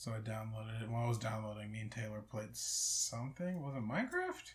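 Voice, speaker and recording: A soft-spoken man talks at a very fast pace and a medium pitch. His pitch variation is ordinary, over noticeable background noise. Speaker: podcast co-host. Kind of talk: casual chat. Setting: friend's house, one shared mic. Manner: quiet, soft-spoken. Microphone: too quiet on the shared mic.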